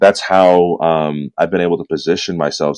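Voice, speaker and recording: A man with a Californian accent. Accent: Californian American English. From Southern California (San Bernardino). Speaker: entrepreneur and purpose coach. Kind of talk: podcast interview.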